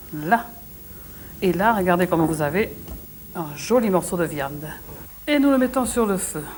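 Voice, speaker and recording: A woman's medium-pitched, fairly slow speech in a southwestern French accent, with very wide pitch swings and long, frequent pauses. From southwest France. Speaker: TV cook. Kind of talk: cooking show demonstration. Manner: frank, good-humoured.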